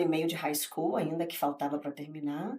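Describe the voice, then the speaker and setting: Noticeable background noise sits behind a woman speaking in a very deep, low voice. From Brazil, Rio de Janeiro. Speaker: real estate agent. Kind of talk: podcast interview.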